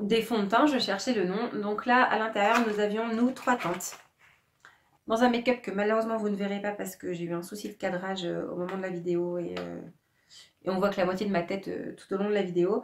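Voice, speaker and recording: A woman talks at a fairly quick pace. Her voice has a medium pitch. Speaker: beauty vlogger. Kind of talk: product review vlog. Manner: fast; hesitant, many fillers.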